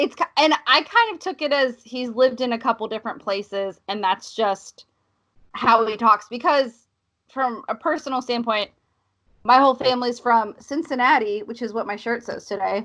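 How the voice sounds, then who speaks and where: A woman's bright, sharp voice, high in pitch, at a moderate pace with ordinary pitch variation. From US South. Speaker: podcast co-host, film reviewer. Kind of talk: casual chat.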